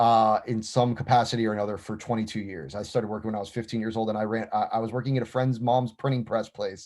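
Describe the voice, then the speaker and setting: Talking at a very fast pace with hardly any pauses, a man with an American accent keeps his intonation fairly even. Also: medium pitch for a man. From US South, Miami, Florida. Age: 30s. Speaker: business executive. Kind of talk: interview. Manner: talkative; halting, many repetitions and fillers.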